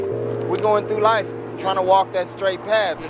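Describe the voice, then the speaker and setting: Over music in the background, a man speaks at a moderate pace with audible room echo. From Los Angeles, US West Coast. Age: 30s. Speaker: interviewee. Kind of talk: street interview.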